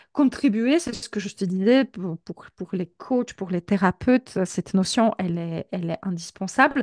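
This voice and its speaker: Hardly any pauses, big swings in loudness and ordinary pitch variation in a Polish accent, with a dry, close sound and no echo. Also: woman, quiet background. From Poland. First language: Polish (speaking French). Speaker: professional coach. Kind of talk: interview. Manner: hesitant, many repetitions.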